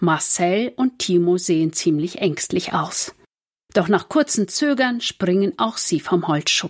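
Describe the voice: Plain reading aloud, lively in intonation, with quiet surroundings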